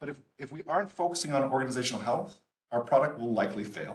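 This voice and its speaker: Audible room echo surrounds a man talking at a medium pitch with ordinary pitch variation. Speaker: entrepreneur and business speaker. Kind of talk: lecture. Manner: fast.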